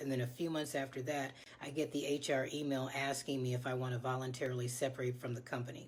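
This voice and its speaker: Monotone, flat intonation at a fairly quick pace, with audible room echo. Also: woman. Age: 60s. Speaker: former office worker promoting side hustle. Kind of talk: testimonial sales pitch.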